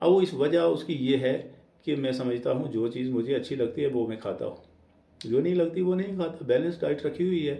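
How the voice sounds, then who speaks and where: A man talks at a fairly high pitch, with vocal fry and a dark, mellow tone. His pitch swings very widely, and the room echo is audible. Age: 60s. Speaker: vlogger. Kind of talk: casual monologue. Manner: hesitant, with fillers.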